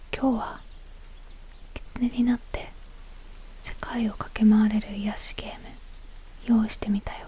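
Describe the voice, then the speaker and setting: The speaker whispers fairly slowly, with long pauses coming often and noticeable noise in the background. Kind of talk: quiet gameplay commentary for relaxation and sleep. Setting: recorded at home, gameplay audio in background. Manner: whispered, soft-spoken, calming.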